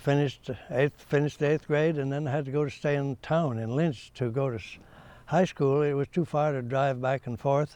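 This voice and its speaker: Over a quiet background, a man with an American accent speaks at a moderate pace in a dark, mellow tone, fairly high in pitch with fairly even intonation. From US Midwest, rural northern Nebraska. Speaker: retired agronomist. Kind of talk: oral history interview. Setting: research center.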